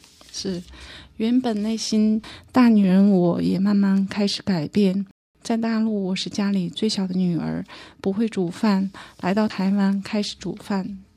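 A woman speaks in a dark, mellow, somewhat breathy voice at a medium pitch and fairly slow pace, with monotone, flat intonation. The recording is very clean with a silent background. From northeast China (Harbin). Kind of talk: testimony.

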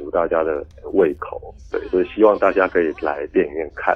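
Moderate-paced talking from a man, noticeable background noise behind it. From Taiwan, Kaohsiung. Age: 30s. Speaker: film director. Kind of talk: interview. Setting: remote call.

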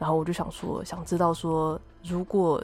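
A woman with a fairly low pitch talks over music in the background. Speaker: podcast host and architect. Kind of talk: casual interview chat. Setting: remote recording.

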